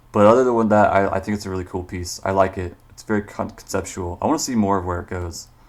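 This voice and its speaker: A man talks at a very fast pace with hardly any pauses and big swings in loudness. His pitch is fairly low, with ordinary variation. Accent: Missouri. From Missouri, US. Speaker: artist giving art critiques; artist streamer giving critique. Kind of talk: live stream critique; casual livestream art critique. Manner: casual, halting with fillers. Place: home room.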